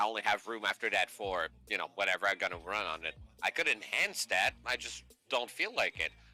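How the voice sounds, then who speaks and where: A man with a Canadian accent talks at a fairly quick pace. Music plays in the background, and the sound is dry and close with no echo. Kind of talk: casual chat.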